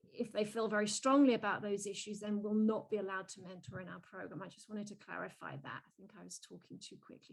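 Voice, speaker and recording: Vocal fry from a woman at medium pitch, very fast with hardly any pauses, ordinary pitch variation and big swings in loudness. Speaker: keynote speaker, youth mentoring program director. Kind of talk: webinar Q&A answer. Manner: hesitant, many restarts.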